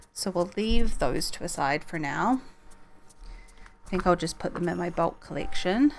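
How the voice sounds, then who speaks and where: A woman's medium-pitched voice at a moderate pace, with music in the background. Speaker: streamer. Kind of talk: casual talk to camera.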